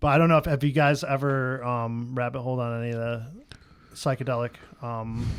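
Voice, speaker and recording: A man with a medium pitch talks at a fairly quick pace in a flat, monotone delivery. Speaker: podcast co-host. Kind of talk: casual chat. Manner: fast; halting.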